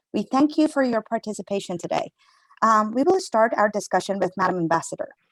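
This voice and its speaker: Recorded with a dry, close sound and no echo, a woman's voice swings very widely in pitch. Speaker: panel moderator. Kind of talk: moderating panel. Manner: halting.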